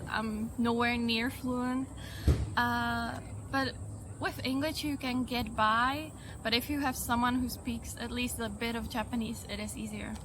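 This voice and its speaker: A woman at a fairly slow pace, with audible room echo around her voice. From Czech Republic, Prague. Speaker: tourist interviewee. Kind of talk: street interview.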